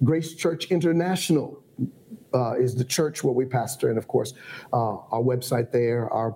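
A man with an American accent has an unremarkable speaking voice, medium in pitch with ordinary variation, at a moderate pace. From Ohio. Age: 50s. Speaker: bishop and pastor. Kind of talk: casual chat. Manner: formal.

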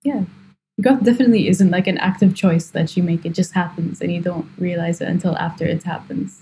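Speaking at a fairly quick pace, a woman has a somewhat breathy, dark and mellow voice at a fairly low pitch with ordinary pitch variation. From Kuwait. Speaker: hobbyist photographer. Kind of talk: interview.

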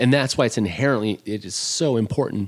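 Speaking at a moderate pace with fairly even intonation, the voice comes in a Midwestern American accent. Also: man, very clean recording, silent background. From US Midwest. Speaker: chef. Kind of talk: casual chat. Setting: at home.

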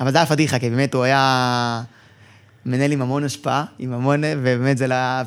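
A normal speaking voice from a man, at medium pitch and a moderate pace, with fairly even intonation. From Israel. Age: 40s. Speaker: information systems director. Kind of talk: interview.

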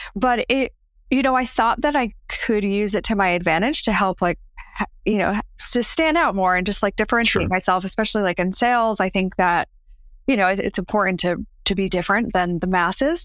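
A woman with an American accent has an ordinary speaking voice at a medium pitch. Her intonation is lively and her loudness very even. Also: fairly quick pace. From New Jersey. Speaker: mindset coach. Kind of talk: interview.

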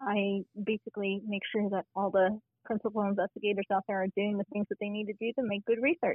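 A woman's ordinary speaking voice with an American accent, medium pitch and fairly even intonation, at a fairly quick pace with hardly any pauses. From Arizona, US. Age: 40s. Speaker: clinical research professional. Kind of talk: casual interview.

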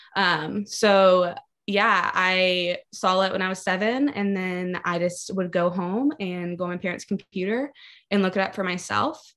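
A woman with an American accent has an unremarkable speaking voice at medium pitch, with fairly even intonation against a quiet background. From Maryland, US. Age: 20s. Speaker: barista. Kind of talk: testimony.

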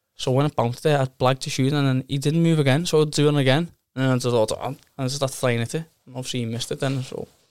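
A man with a Liverpool accent talks very fast at a fairly high pitch in a flat monotone. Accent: Scouse (Liverpool). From Liverpool, England. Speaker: amateur footballer. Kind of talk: casual interview chat.

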